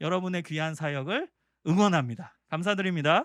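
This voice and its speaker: A man's fairly high-pitched voice, dry and close with no echo, on a very clean recording with a silent background. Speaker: professor. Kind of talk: lecture. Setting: seminar for church teachers. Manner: fast.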